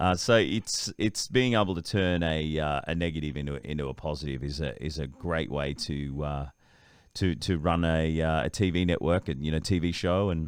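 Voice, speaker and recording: In an Australian accent, a man speaks with a very deep, low pitch and ordinary pitch variation at a moderate pace. The recording is very clean, with a silent background. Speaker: voice-over artist and TV presenter. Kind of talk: interview answer.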